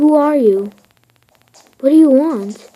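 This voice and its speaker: A woman's put-on character voice, high-pitched, raised and projected. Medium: read story. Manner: shouted at first, then quiet and solemn.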